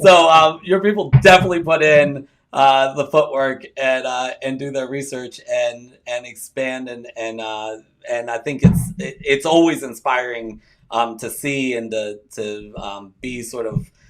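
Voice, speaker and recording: Over music in the background, a man with a Baltimore accent speaks at a fairly slow pace with ordinary pitch variation. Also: medium pitch for a man, big swings in loudness. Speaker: interview show host. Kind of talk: interview.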